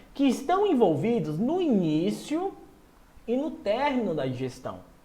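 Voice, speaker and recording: A man speaks at an extremely high pitch, his voice swinging very widely in an animated tone at a fairly slow pace. Room echo is audible, and background noise is noticeable. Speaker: nutrition exam-prep teacher. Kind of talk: online lecture. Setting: live stream.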